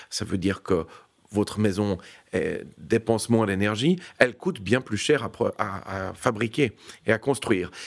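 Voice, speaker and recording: Recorded very cleanly against a silent background, a man speaks at a moderate pace. His pitch is fairly low. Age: 50s. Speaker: real estate executive. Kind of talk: interview. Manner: formal.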